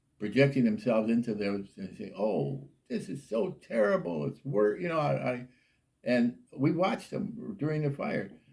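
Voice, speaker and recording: A man talks at medium pitch and a moderate pace, with vocal fry. His pitch swings very widely. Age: 80s+. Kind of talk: interview answer.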